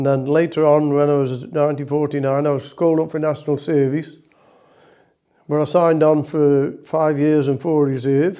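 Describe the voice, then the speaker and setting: Monotone, flat delivery from a man in a Potteries accent, fairly high in pitch, with a dark, mellow tone. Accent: Potteries (North Staffordshire) English. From Staffordshire, Stoke-on-Trent. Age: 90s. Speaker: war veteran. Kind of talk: interview reminiscence.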